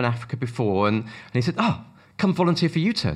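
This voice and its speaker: A man with a British accent talks at a very fast pace. His medium-pitched voice has lively intonation. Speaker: ministry worker with the homeless. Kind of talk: interview.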